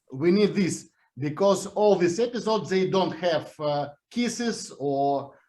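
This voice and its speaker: A man with a Russian accent talks at a high pitch and fairly slow pace, with ordinary pitch variation. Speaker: series creator. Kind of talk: interview. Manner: halting.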